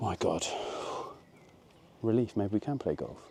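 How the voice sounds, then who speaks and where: In a British accent, a man talks at a fairly quick pace with a dark, mellow tone, a fairly low pitch and ordinary pitch variation. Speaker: golf vlogger. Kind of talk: casual golf vlog commentary. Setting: outdoors on a golf course. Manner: quiet, low voice.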